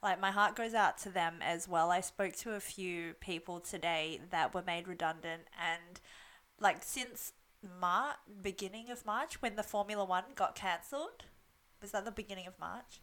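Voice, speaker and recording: A woman with an Australian accent speaks at a moderate pace and medium pitch. Her tone is bright and sharp, with ordinary pitch variation. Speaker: podcast co-host, Chinese medicine graduate. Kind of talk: casual chat.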